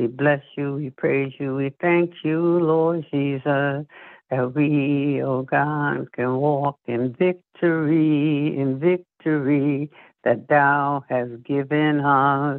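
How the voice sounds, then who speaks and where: The woman's pitch is very deep and low. She speaks very slowly with monotone, flat intonation. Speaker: minister leading prayer. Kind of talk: fervent prayer. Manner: fervent, repetitive, rhythmic.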